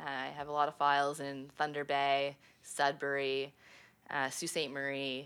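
A woman's very deep, low voice in a Canadian accent, monotone and flat, at a very slow pace. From Ontario, Canada (Prescott). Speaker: insurance litigation lawyer. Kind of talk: interview. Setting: office.

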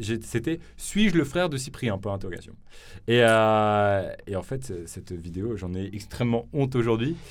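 Here a man talks at a very slow pace and medium pitch, with a slight southern French accent. His intonation is lively. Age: young. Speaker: podcast host and youtuber. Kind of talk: casual chat. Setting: studio.

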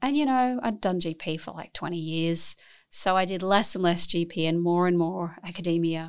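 A woman with an Australian accent speaks at a fairly low pitch and moderate pace, with ordinary pitch variation. The recording is very clean, with a silent background. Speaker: academic scientist and medical doctor. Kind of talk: interview.

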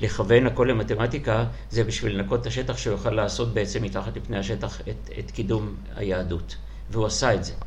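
Male voice, very deep and low, at a fairly quick pace with very wide pitch swings and a slight non-native accent, plus noticeable background noise and audible room echo. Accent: slightly non-native Hebrew. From Soviet Union. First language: Russian (speaking Hebrew). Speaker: school principal. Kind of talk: interview.

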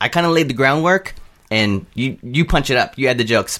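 The speaker has an American accent and a bright, sharp tone. Delivery is fairly quick, with ordinary pitch variation. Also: man. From Southern California. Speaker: filmmaker and video creator. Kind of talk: casual chat.

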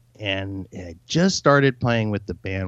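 This man has a fairly low pitch and an American accent. His pitch varies in an ordinary way. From Southern California (Torrance). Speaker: punk guitarist. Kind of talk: casual interview chat.

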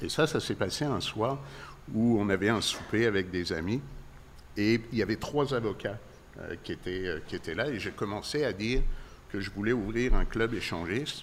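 Long, frequent pauses break up a man's fairly low voice, which moves at a moderate pace with ordinary pitch variation. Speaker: libertine club owner. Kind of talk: interview. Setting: in his club.

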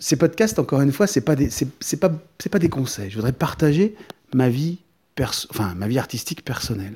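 A man talks fairly quickly in a somewhat breathy, fairly high voice. His pitch swings very widely. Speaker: artist podcaster. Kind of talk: personal podcast monologue. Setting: artist's studio. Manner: calm, measured; hesitant, many fillers and repetitions.

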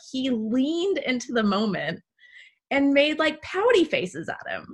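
Speaking in an American accent, a woman's pitch swings very widely. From Texas. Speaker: podcast host.

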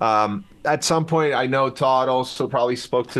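With a Chilean accent, a man talks at a medium pitch using lively intonation. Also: quiet background. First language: Spanish. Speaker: rock musician. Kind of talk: casual chat.

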